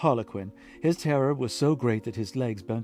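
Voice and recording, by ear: Reading aloud in a natural voice, the speaker uses ordinary pitch variation.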